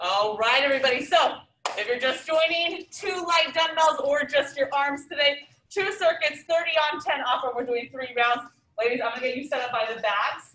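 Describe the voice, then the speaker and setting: With a raised, projected voice and a bright, sharp tone, a woman talks at a moderate pace with ordinary pitch variation amid audible room echo. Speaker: fitness instructor. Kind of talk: workout instruction. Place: gym. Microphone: camera far.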